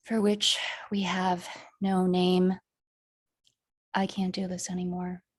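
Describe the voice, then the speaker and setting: A woman speaks very slowly in a somewhat breathy, medium-pitched voice. Her intonation is monotone and flat, with long, frequent pauses. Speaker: poet and author. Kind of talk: poetry reading.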